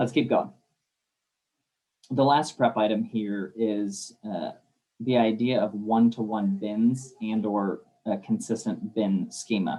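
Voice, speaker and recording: Pausing often and at length, a man speaks at a medium pitch with a dark, mellow tone and ordinary pitch variation. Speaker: warehouse systems consultant. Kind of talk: webinar presentation. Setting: online webinar. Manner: fast.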